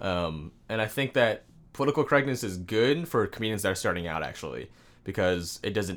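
On a very clean recording with a silent background, a speaker with a West Coast accent talks fairly quickly with lively intonation. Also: man, fairly low pitch for a man. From Washington State, Seattle suburbs. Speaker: comedian. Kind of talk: casual chat.

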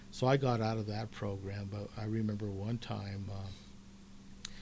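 A man with an American accent, a dark, mellow tone, a somewhat breathy quality, and ordinary pitch variation. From Colorado, Commerce City. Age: 60s. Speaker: retired teacher and author. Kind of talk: casual interview chat. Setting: radio studio.

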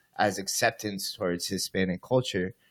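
An ordinary speaking voice with fairly even intonation moves at a moderate pace over a very clean recording with a silent background. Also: man. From US, Cuban-American family. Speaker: podcast host. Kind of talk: casual chat.

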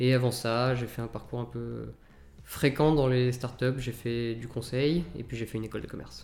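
A man's monotone, flat intonation over music in the background. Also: medium pitch for a man, moderate pace. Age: 30s. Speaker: startup founder and CEO. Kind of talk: interview.

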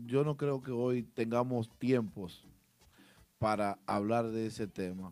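A man talks very slowly at a medium pitch. His pitch variation is ordinary. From Dominican Republic. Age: 30s. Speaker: DJ. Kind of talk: casual chat. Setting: studio.

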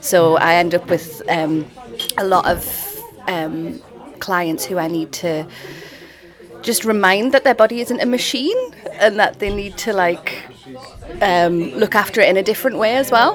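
With lively intonation, a woman speaks at a fairly slow pace, leaving long, frequent pauses over noticeable background noise. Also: medium pitch for a woman. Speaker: yoga studio owner. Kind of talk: casual interview chat.

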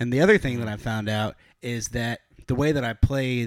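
A man with an American accent talks at a fairly quick pace, his pitch medium. The sound is dry and close, with no echo. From Ithaca, New York. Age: 20s. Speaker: drummer. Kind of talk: casual chat. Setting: studio.

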